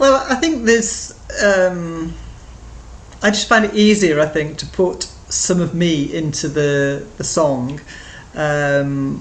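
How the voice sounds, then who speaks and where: In audible room echo, a woman with a fairly low pitch speaks with lively intonation. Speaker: beginner guitar student and artist. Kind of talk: interview. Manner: halting, many fillers.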